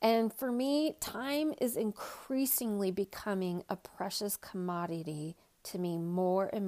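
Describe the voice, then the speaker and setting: This woman has an ordinary speaking voice. Her pitch is medium. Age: 40s. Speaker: podcast host and equine bodyworker. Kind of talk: solo podcast monologue.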